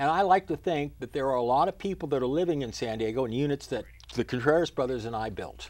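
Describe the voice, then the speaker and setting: A man at a very fast pace, with ordinary pitch variation. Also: medium pitch for a man. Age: 70s. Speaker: mayoral candidate. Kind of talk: interview. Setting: studio.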